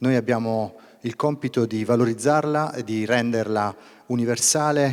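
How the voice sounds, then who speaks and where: Fairly quick speech from a man, medium in pitch, with fairly even intonation. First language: Italian. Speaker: regional business leader. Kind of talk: welcome speech. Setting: stage with audience.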